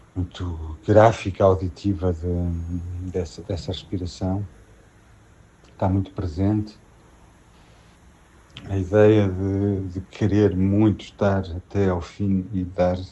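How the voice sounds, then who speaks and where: A man talks at a very slow pace, leaving long, frequent pauses. His very deep, low voice stays monotone and flat. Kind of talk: personal testimony about a loved one's death. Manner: hesitant, reflective.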